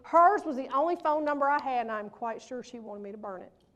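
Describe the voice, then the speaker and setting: Talking at a very fast pace, a woman uses a high pitch, lively intonation and an animated tone. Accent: Mississippi. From US South, Pontotoc, Mississippi. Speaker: motivational speaker. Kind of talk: keynote speech. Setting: stage with audience. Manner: loud.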